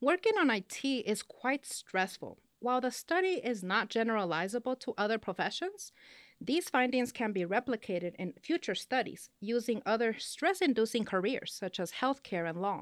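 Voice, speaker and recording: Speaking with a slight Spanish accent, a woman swings her pitch very widely, heard in a dry, close sound with no echo. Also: fairly high pitch for a woman, moderate pace, very clean recording, silent background. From California, partly schooled in Mexico. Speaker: business professor. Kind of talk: interview.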